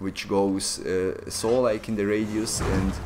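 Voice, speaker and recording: Over noticeable background noise, a man speaks at a fairly slow pace. He has a medium pitch and a non-native accent. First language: not English. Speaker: gaming YouTuber. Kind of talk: gameplay tutorial. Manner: halting, many fillers; animated.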